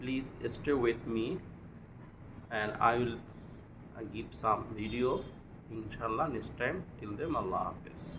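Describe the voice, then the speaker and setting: A man with a Bengali accent talks at a medium pitch and fairly slow pace, with ordinary pitch variation and long, frequent pauses, amid audible room echo and noticeable background noise. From Bangladesh. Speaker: English learner. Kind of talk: speaking practice monologue. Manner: halting.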